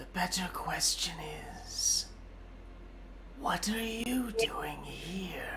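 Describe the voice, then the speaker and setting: Over loud background noise, a man puts on a character voice and speaks at a very slow pace. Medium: actual play. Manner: commanding, imperious.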